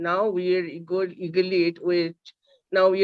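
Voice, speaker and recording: Here a woman speaks in a fairly low pitch. Her pace is moderate. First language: Bengali. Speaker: seminar host. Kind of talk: speaker introduction. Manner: halting.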